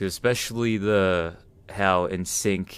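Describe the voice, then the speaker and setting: On a very clean recording with a silent background, a man with an Australian accent talks at a fairly slow pace, his fairly low voice showing ordinary pitch variation. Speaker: cryptid hunter vlogger. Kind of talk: casual talk to camera. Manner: halting, stuttering.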